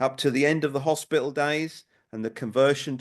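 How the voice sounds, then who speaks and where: With a Norwich accent, a man speaks at a medium pitch. He moves at a fairly quick pace against a quiet background. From Norwich, Norfolk, England. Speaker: local historian. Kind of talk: public talk.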